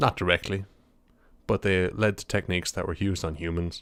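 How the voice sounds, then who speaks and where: On a very clean recording with a silent background, a man speaks in a very deep, low voice with a flat monotone. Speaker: podcast host. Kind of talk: solo podcast monologue. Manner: fast.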